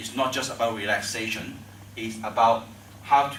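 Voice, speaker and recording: With a Chinese accent, a man speaks in a monotone, flat way, with audible room echo and noticeable background noise. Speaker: tai chi teacher. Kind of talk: tutorial. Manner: halting.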